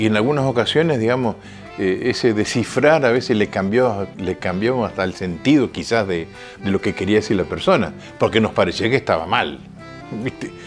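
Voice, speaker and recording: A man with a fairly low pitch and lively intonation at a fairly quick pace, with music in the background. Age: 80s+. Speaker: radio announcer. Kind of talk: interview answer.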